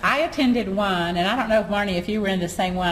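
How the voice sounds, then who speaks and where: With noticeable noise in the background, a woman's words echo audibly around the room. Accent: Southern US. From US South. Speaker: online marketing business owner. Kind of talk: casual chat. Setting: at a conference in Atlanta.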